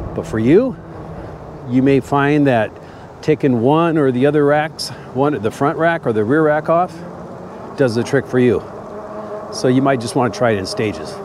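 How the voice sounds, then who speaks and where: A man at a fairly high pitch and moderate pace, with ordinary pitch variation and long, frequent pauses, over noticeable background noise. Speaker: e-bike reviewer. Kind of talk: casual vlog while riding. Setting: outdoors on a bike. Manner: loud.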